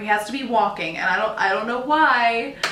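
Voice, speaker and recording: With an American accent, a woman talks at a moderate pace in a fairly high pitch with ordinary pitch variation, over audible room echo and noticeable background noise. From US, North Carolina and Massachusetts. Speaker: beauty vlogger. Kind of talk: casual chat. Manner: animated.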